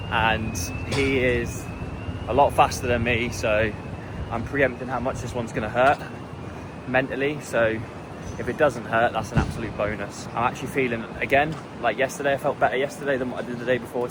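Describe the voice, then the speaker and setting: Through noticeable background noise, a man talks at a fairly quick pace with fairly even intonation and long, frequent pauses. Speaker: fitness racer and vlogger. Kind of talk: casual vlog. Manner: loud.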